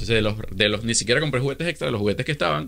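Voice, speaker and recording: A Venezuelan accent and lively intonation against a quiet background. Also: man. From Venezuela (Caracas). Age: 30s. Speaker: social media influencer. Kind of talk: casual interview. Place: studio. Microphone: studio mic.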